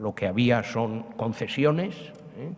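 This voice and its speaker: There is noticeable noise behind a man who talks at an even, moderate speed. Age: 70s. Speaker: historian. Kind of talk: public lecture. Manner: conversational, many fillers.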